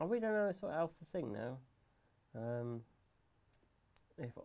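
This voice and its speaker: A man mumbles in an English accent. His tone is dark and mellow, and his pitch swings very widely. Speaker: gaming livestreamer. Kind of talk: live stream tutorial chat. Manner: mumbles and stutters; talks fast without pausing for breath. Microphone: audio problems in stream.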